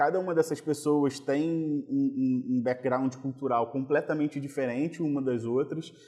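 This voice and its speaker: A man talks at a fairly slow pace with hardly any pauses, in a fairly high pitch. His tone is dark and mellow, and his intonation fairly even. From Rio de Janeiro, Brazil (Copacabana). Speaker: oncologist and carnival band founder. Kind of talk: interview conversation. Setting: podcast recording.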